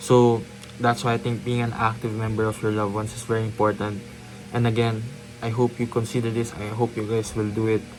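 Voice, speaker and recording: A man of medium pitch at a fairly quick pace, monotone and flat, with music in the background. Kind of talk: casual talk to camera. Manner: hesitant, many filler words.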